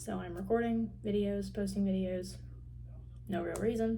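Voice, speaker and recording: Audible room echo surrounds a woman speaking with a Southern US accent. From Tennessee. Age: young. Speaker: university student vlogger. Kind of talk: casual vlog. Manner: casual, many filler words.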